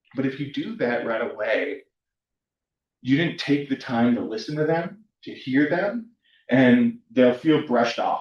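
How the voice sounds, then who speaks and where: The speaker talks at a moderate pace with a Californian accent. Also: man. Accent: Californian American English. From US West Coast (Southern California). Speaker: university counselor / workshop presenter. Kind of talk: workshop presentation. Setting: room with live and online audience. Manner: casual, frequent fillers (um, like).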